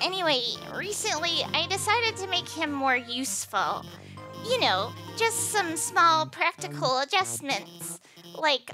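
A man puts on a character voice at an extremely high pitch, with clear music in the background. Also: fairly slow pace. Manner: awkward, rambling, nervous.

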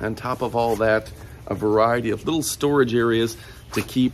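A man with an American accent talks at a moderate pace with ordinary pitch variation over light background noise. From Michigan, US. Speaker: product reviewer. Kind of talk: sales pitch. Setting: video review. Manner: animated; upbeat, salesy. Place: garden.

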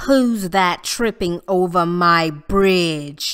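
A female-sounding put-on character voice at medium pitch speaks at a very slow pace.

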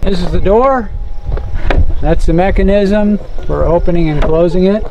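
A man speaks at a fairly slow pace with a high pitch and ordinary pitch variation. Background noise is clearly audible.

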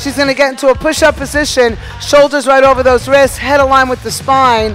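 Faint music plays in the background. Over it, a woman talks at a high pitch. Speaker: fitness instructor. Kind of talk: tutorial. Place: gym.

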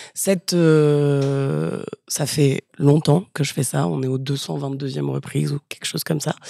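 In a dry recording with no echo and a quiet background, a woman speaks very slowly at a very deep, low pitch, her tone dark and mellow and her pitch varying in an ordinary way. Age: 30s. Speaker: communications staff member; guest. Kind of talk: casual chat. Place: office. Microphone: studio mic.

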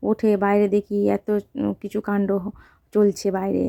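The voice belongs to a woman with a medium pitch and a dark, mellow tone. It sounds dry and close, with no echo. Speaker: daily vlogger. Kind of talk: casual vlog narration.

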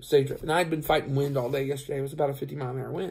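The voice has a dark, mellow tone and sounds somewhat breathy. The background is quiet. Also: man. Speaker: truck driver vlogger. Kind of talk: casual vlog chat. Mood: relaxed, rueful storytelling. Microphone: phone near.

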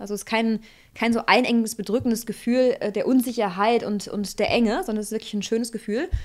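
Very fast delivery with ordinary pitch variation against a quiet background. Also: woman, fairly high pitch for a woman. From rural Germany. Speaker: emigrant, co-host; co-host. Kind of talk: casual discussion. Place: home room. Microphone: studio mic.

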